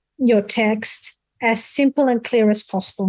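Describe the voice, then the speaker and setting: Speaking very slowly in a non-native accent, a woman keeps a fairly high pitch and fairly even intonation. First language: not English. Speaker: conference speaker on academic writing. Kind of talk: Q&A answer at an online seminar.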